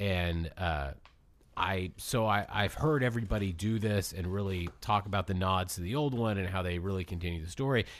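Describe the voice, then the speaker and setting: On a very clean recording with a silent background, a man speaks at a moderate pace with a very deep, low pitch and ordinary pitch variation. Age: 20s. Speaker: podcast host. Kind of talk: casual chat.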